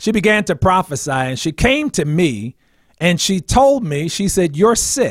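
Here a man is speaking. His voice is high-pitched. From New Jersey, New Brunswick. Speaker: minister, liver transplant survivor. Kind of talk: interview testimony. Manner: hesitant, many fillers.

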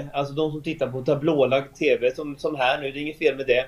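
A man speaks with a Swedish accent. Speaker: architect. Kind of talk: interview.

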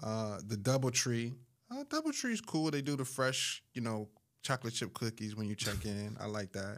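On a very clean recording with a silent background, a man with an unremarkable speaking voice talks at a moderate pace and a medium pitch with fairly even intonation. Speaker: timeshare sales professional and podcast host. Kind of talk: casual podcast chat.

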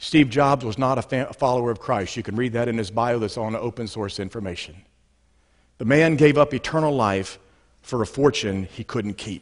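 Against a quiet background, a man with a plain, everyday voice and medium pitch speaks at a moderate pace with ordinary pitch variation. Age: 60s. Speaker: pastor. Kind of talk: sermon.

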